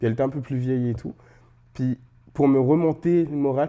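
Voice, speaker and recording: A man is speaking. His tone is dark and mellow. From Central African Republic. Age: 30s. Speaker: interview guest with sickle cell disease. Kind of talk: casual interview. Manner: hesitant, many fillers.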